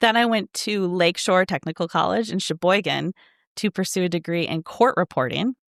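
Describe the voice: A woman speaks at a moderate pace with a fairly low pitch and vocal fry. The recording is very clean, with a silent background and a dry, close sound with no echo. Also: ordinary pitch variation.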